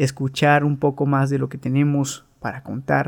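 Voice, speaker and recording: A man talks at a fairly slow pace, his pitch fairly high. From Veracruz, Mexico. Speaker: barber and podcast host. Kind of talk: casual podcast monologue.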